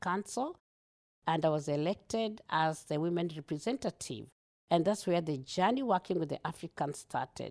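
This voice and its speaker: With a Kenyan accent, a woman talks at a fairly low pitch in a dry, close sound with no echo. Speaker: multicultural liaison officer for police. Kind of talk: interview. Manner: animated; talkative.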